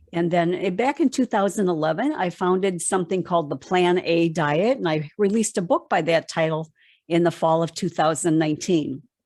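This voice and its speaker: A woman with an unremarkable speaking voice talks at a fairly quick pace with hardly any pauses. Her fairly low pitch stays at very even loudness. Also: ordinary pitch variation. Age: 60s. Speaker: plant-based diet educator. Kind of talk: interview.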